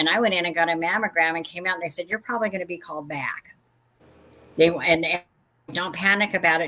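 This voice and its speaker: A woman speaks in a fairly low pitch with a bright, sharp tone and ordinary pitch variation. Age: 60s. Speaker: vintage seller and crafter. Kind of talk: casual chat.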